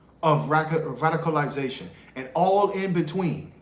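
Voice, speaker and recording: Amid audible room echo, a man talks at a moderate pace with ordinary pitch variation. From United States. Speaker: podcast host. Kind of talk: live-stream monologue. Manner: halting, repeats words.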